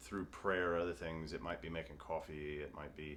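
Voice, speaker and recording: This is a man speaking. He has a Mississippi accent. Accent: Southern US (Mississippi). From US South. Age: 30s. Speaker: recovering alcoholic interviewee. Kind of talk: interview. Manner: halting, many fillers.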